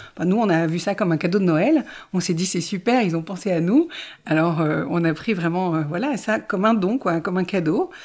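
In a very clean recording with a silent background, a woman speaks at a moderate pace in a fairly low voice. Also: ordinary pitch variation. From Ardennes, France. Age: 40s. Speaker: genealogy trainee. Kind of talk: personal testimony interview. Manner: hesitant, many fillers.

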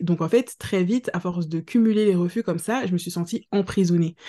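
A woman speaks at a fairly quick pace in a fairly low pitch, with ordinary pitch variation against a quiet background. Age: 30s. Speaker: career changer, mother of two. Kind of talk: podcast interview testimony. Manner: casual with frequent hesitations.

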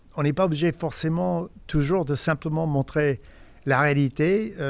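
On a very clean recording with a silent background, a man with a fairly high voice and ordinary pitch variation speaks at a fairly slow pace. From US Midwest, Indiana. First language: English (speaking French). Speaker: photojournalist. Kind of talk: interview. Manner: halting, many repetitions and hesitations.

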